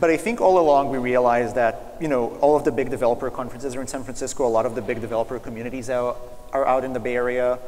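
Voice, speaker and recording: The man's intonation stays fairly even as he speaks at a very fast pace. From Israel. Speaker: startup founder. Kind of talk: fireside chat interview. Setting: stage with audience. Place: stage. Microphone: lapel.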